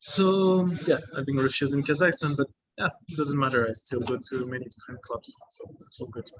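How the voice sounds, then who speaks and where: A man speaks at a fairly quick pace with a French accent and a fairly high pitch. His pitch variation is ordinary, while his loudness swings widely. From France. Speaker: travelling judoka. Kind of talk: interview. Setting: video call from a coffee shop. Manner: hesitant, many fillers.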